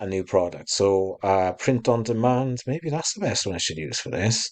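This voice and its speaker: Against a quiet background, a man with a British accent talks at a moderate pace with ordinary pitch variation. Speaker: small online shop owner. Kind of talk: tutorial. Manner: casual, hesitant with fillers.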